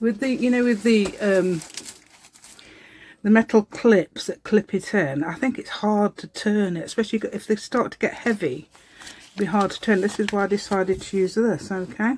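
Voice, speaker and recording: At a moderate pace, a woman with a British accent speaks at medium pitch with ordinary pitch variation. Her loudness swings widely. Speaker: craft video tutorial maker. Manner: chatty, hesitant with fillers.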